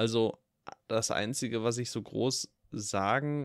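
The sound of a man talking is dry and close, with no echo. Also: very clean recording, silent background. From Ruhr area, Germany. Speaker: film podcast co-host. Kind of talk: casual chat.

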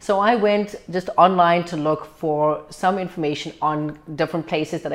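A woman speaks in a South African accent at a moderate pace, with hardly any pauses. Her intonation stays fairly even. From South Africa, Cape Town. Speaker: medical doctor. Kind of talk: interview. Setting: downtown location.

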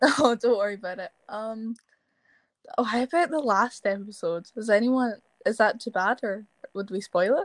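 Speaking at a moderate pace, a woman uses a fairly high pitch with ordinary variation and a Scottish accent. The sound is dry and close, with no echo. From Scotland. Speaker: TikTok actor. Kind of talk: casual chat.

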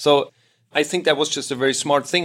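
A man's plain, everyday voice, fairly high-pitched, at a fairly quick pace with ordinary pitch variation, over a very clean recording and a silent background. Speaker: podcast host. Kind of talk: interview / consultancy-style conversation. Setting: on university campus.

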